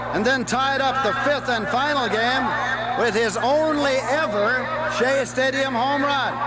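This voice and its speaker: Over noticeable background noise, a man uses a raised, projected voice at an extremely high pitch, speaking fairly slowly with fairly even intonation and very even loudness. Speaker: stadium announcer introducing old-timers. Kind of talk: pre-game ceremony player introductions, live sports broadcast.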